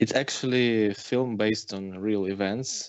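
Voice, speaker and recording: With a Ukrainian accent, a man speaks in a fairly low pitch with fairly even intonation. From Ukraine. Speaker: film director. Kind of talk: interview. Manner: halting, many fillers and restarts.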